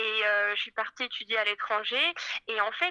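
At a moderate pace, a woman's bright, sharp tone and fairly high pitch come through with a dry, close sound and no echo. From France, Paris. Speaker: fashion designer. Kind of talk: interview.

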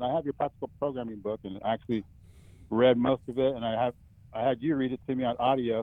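A man speaks at a fairly quick pace in an unremarkable speaking voice. His pitch is medium, with fairly even intonation. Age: 50s. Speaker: caller asking about strength training. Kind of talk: call-in question.

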